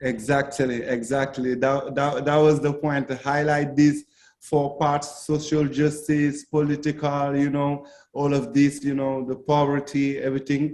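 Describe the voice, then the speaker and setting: This man's voice is fairly high in pitch. He speaks in a monotone with flat intonation. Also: fairly slow pace. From Senegal. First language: not English (Senegalese, Fulani/French). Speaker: reggae singer. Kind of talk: interview. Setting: video call. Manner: halting, many fillers.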